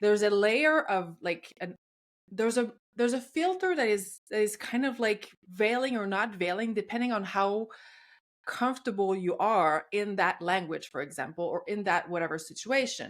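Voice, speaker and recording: In a Quebec accent, a woman talks at a medium pitch with lively intonation. Her pace is moderate, and the recording is very clean with a silent background. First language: French. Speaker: podcast host. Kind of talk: podcast interview.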